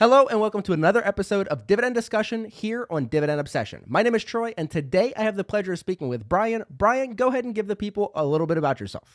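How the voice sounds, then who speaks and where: A man with a high-pitched voice and an American accent talks at a very fast pace, with lively intonation and hardly any pauses, in a dry, close sound with no echo. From Pennsylvania, US. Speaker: dividend investing interviewer. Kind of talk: interview.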